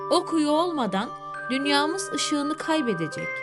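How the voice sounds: Against clear background music, a woman uses a put-on character voice, high-pitched with big pitch swings, at a fairly slow pace.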